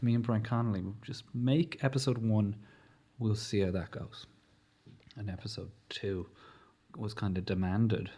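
A man with a Leinster accent speaks at a moderate pace in a somewhat breathy, fairly low voice with ordinary pitch variation and long, frequent pauses. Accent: Irish, Leinster. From Newbridge, County Kildare, Ireland. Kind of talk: casual interview chat. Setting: studio.

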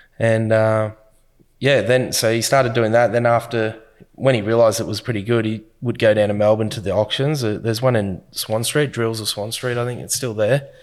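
Over a very clean recording with a silent background, a man with an Australian accent speaks at a fairly quick pace in a monotone, flat intonation. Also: medium pitch for a man. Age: 30s. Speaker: business owner. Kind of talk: interview. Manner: casual, with fillers.

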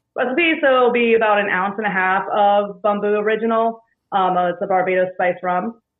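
Delivered at a moderate pace, an unremarkable speaking voice holds very even loudness and ordinary pitch variation. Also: woman, medium pitch for a woman. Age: 30s. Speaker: bartender. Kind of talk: casual chat.

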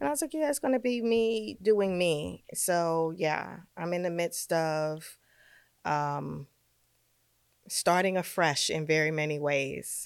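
In a New York accent, a woman talks at a very slow pace with a fairly low pitch and lively intonation. The recording is very clean, with a silent background. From New York, Brooklyn. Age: 50s. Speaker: fashion stylist. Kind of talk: casual chat. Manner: animated.

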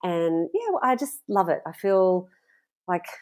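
The background stays quiet. A woman talks in an Australian accent. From Australia (Sydney). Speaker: farmer, author and food blogger. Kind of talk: casual interview chat.

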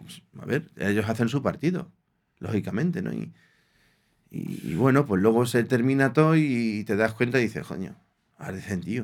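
Vocal fry runs through this man's speech. His loudness swings widely. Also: medium pitch for a man, moderate pace. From Spain, Aranjuez (Madrid region). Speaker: former professional footballer. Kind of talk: casual interview.

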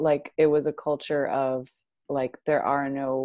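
Against a quiet background, a woman with an American accent and a very deep, low pitch talks fairly slowly in a flat, monotone manner. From Arizona. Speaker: writer. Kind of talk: casual chat.

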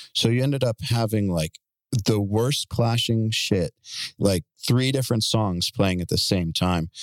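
A man with a plain, everyday voice speaks at a fairly slow pace and fairly low pitch, with ordinary pitch variation, on a very clean recording with a silent background. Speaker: podcast host interviewing guitarists. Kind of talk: casual interview chat.

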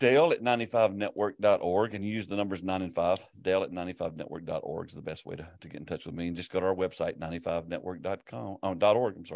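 A man with a Southern US accent talks at a very fast pace, with hardly any pauses, in a very deep, low voice. His pitch variation is ordinary, and the background is quiet. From US South. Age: 60s. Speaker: pastor and ministry network leader. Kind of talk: casual interview.

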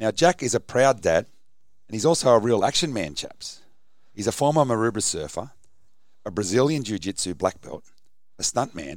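At a fairly quick pace, a man with an Australian accent talks at a medium pitch, with long, frequent pauses. The recording is very clean, with a silent background. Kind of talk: casual chat.

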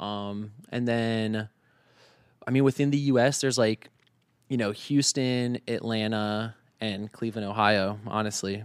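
At a fairly slow pace, a man with an American accent and an ordinary speaking voice talks at medium pitch with fairly even intonation. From Northern Virginia, US. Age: 20s. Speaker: vintage store owner and entrepreneur. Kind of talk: casual interview chat.

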